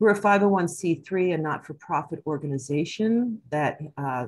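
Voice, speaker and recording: A woman's very deep, low pitch with lively intonation. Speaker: community education event host. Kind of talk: webinar host introduction. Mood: warm, grateful. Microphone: video call.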